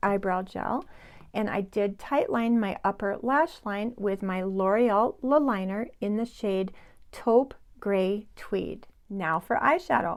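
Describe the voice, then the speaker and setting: Captured in a very clean recording against a silent background, a woman with an unremarkable speaking voice talks fairly slowly at a fairly high pitch, with ordinary pitch variation. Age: 60s. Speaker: beauty vlogger. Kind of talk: makeup tutorial. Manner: casual, chatty.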